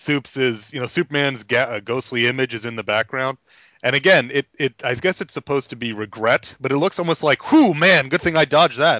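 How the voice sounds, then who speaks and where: Using a normal speaking voice, a man with an American accent talks at a fairly quick pace, with medium pitch and ordinary pitch variation. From New York. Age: 30s. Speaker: comic book podcast panelist. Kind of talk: casual chat.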